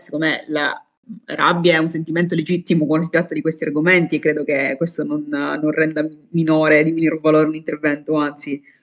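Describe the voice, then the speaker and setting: Talking very fast, a woman uses a very deep, low voice. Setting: video call.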